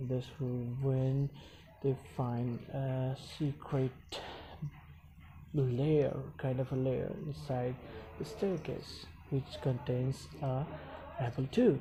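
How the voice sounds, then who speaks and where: With a non-native accent, a man speaks very slowly in a dark, mellow, somewhat breathy tone. His pauses are long and frequent. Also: medium pitch for a man, ordinary pitch variation. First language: not English. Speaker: YouTube reviewer. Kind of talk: recap narration; casual outro. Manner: halting, many fillers.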